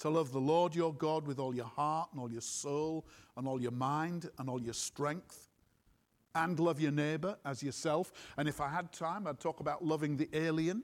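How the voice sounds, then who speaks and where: A man talks at a moderate pace in a normal speaking voice, his pitch fairly high and his intonation fairly even. The recording is very clean, with a silent background. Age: 60s. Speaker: preacher. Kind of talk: sermon. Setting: church with congregation.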